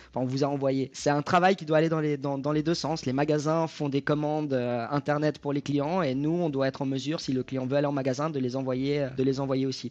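At a fairly quick pace and with hardly any pauses, a man speaks in a fairly high pitch with monotone, flat intonation. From Switzerland. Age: 30s. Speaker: retail project manager. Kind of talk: interview. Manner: hesitant with repetitions.

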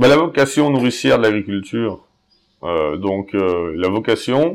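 A man speaks at a very slow pace with a fairly low pitch. His intonation is lively. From Haute-Savoie, France (Genevois border area). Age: 30s. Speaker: dairy farmer. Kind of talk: casual interview. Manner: hesitant, many fillers.

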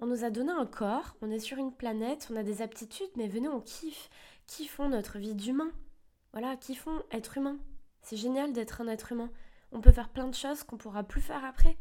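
A woman speaks at a fairly quick pace in a high, dark, mellow voice, with ordinary pitch variation and big swings in loudness. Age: 20s. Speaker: self-help podcaster. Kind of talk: motivational monologue.

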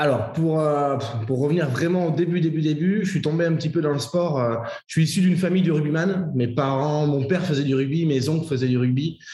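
The speech comes at a fairly quick pace, with audible room echo around it. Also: man, very even loudness. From France, Bordeaux. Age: 20s. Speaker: fitness coach and entrepreneur. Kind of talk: interview.

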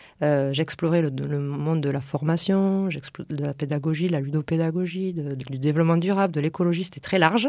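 A woman talks at a fairly quick pace with hardly any pauses and fairly even intonation. Her pitch is very deep and low, with a dark, mellow tone. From France, Lot countryside. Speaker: entrepreneur, former biomedical engineer. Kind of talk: radio interview. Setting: radio studio. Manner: halting.

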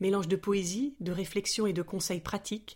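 A woman with an unremarkable speaking voice and medium pitch talks at a moderate pace with fairly even intonation on a very clean recording with a silent background. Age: 40s. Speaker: podcast host. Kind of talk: scripted narration. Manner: soft-spoken.

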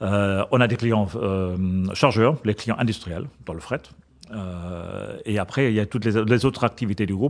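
A man at a fairly low pitch and fairly slow pace, with ordinary pitch variation, over a quiet background. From Germany. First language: German (speaking French). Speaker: corporate purchasing director. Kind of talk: interview. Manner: halting.

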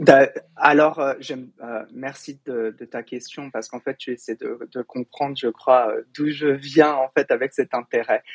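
A man speaks with a fairly high pitch in monotone, flat intonation. His loudness swings a lot. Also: fairly slow pace, dry, close sound with no echo. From Paris suburbs, France. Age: 40s. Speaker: diversity and inclusion trainer. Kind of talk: interview conversation. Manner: halting, many repetitions and fillers.

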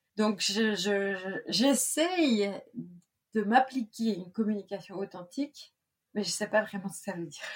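A woman talks at a fairly slow pace with medium pitch and ordinary pitch variation. Her loudness swings a lot. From Brittany, France. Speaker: business coach. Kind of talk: interview. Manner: hesitant with many fillers.

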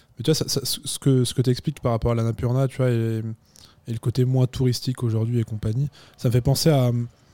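A man speaks in a dark, mellow tone with monotone, flat intonation, the sound dry and close with no echo. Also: medium pitch for a man, fairly quick pace. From Chamonix, French Alps. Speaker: podcast host. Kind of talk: casual interview. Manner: hesitant, many filler words.

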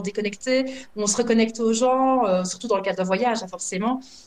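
Fairly even in intonation, the talking goes at a fairly quick speed with noticeable noise behind it. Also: woman. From Belgium. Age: 30s. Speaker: former social worker who emigrated. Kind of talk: interview.

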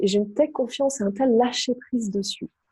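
A somewhat breathy woman's voice with a dark, mellow tone and ordinary pitch variation. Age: 30s. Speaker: relationship coach. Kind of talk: interview.

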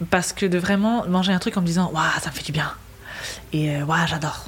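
Calm in tone, a woman with a fairly low voice talks at a fairly quick pace with ordinary pitch variation over noticeable background noise. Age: 20s. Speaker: interview guest. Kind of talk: casual interview. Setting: in a bar.

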